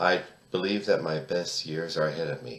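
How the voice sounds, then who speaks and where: A man with an American accent has a very deep, low pitch and ordinary pitch variation. Noticeable background noise is present. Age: 60s. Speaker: poet and political commentator. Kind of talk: opinion monologue. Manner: emphatic.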